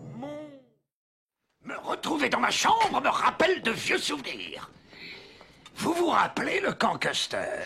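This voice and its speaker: This is a put-on character voice at a fairly slow pace. Long pauses come often. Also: man. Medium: dub.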